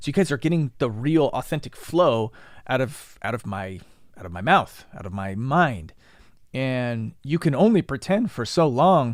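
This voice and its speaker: In a very clean recording with a silent background, a man of medium pitch speaks at a moderate pace, with very wide pitch swings and big swings in loudness. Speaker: podcast host teaching YouTube marketing. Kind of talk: casual podcast talk. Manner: stutters and stammers, halting; unpolished, conversational.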